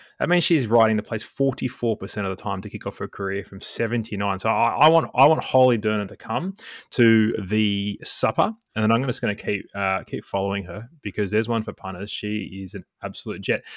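The very clean recording with a silent background has a dry, close sound with no echo, as a man speaks at a moderate pace with hardly any pauses, ordinary pitch variation and big swings in loudness. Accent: Australian. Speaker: guest co-host, form analyst and former golf pro. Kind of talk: casual banter podcast about horse racing. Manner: jokey, dry humour.

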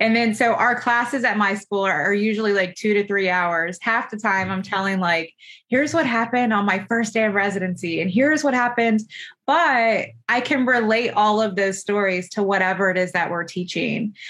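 A woman with an American accent, medium pitch, moderate pace and ordinary pitch variation. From Florida. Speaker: pharmacy professor. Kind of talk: interview.

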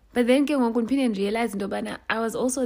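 A woman speaks with vocal fry in a very clean recording with a silent background. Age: 20s. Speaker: podcast host. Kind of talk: casual monologue.

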